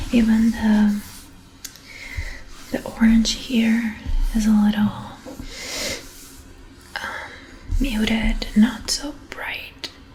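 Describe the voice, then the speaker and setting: The speaker is soft-spoken with a calm, relaxed tone, heard over noticeable background noise. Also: woman. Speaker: illustrator and ASMR artist. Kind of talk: soft spoken ASMR show and tell. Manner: soft-spoken, calm, relaxed.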